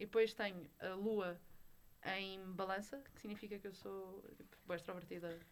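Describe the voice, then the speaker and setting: A woman with an unremarkable speaking voice talks fairly slowly at a medium pitch, with fairly even intonation and big swings in loudness. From Portugal, Lisbon (Olivais). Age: young. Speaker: podcast co-host. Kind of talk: casual chat.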